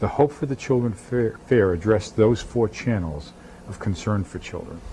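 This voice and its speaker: A man with a fairly low pitch speaks at a moderate pace with ordinary pitch variation. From New England, Boston area. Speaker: pastor. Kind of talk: TV interview.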